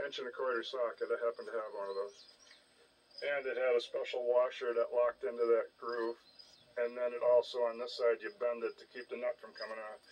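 At a fairly quick pace, a man is talking. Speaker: hobbyist tractor restorer. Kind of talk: casual repair walkthrough. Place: open country. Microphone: phone near.

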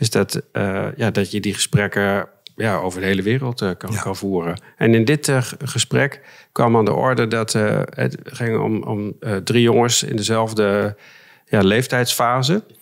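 Over a quiet background, a man with a fairly low pitch and vocal fry talks at a fairly slow pace with ordinary pitch variation. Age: 50s. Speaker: mediator; podcast guest. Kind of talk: interview. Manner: halting. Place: studio. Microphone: studio mic.

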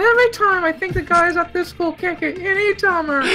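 A woman's put-on character voice, extremely high in pitch, at a fairly quick pace, over clear background noise. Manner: exasperated.

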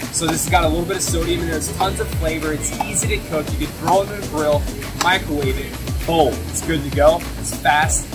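There is clear music in the background as a man speaks at a fairly quick pace. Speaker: fitness coach. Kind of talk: casual vlog chat. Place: shop. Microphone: phone near.

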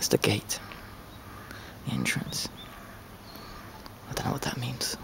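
A man is whispering. He keeps a moderate pace. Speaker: traveler. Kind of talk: casual travel vlog narration. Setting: outdoors. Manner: whispered. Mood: calm, appreciative. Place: garden. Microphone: phone near.

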